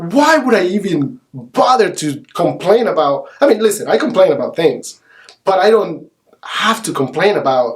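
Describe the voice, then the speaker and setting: Animated male speech in a Spanish accent, high in pitch with very wide pitch swings, at a moderate pace. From El Salvador. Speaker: realtor. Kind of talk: podcast interview.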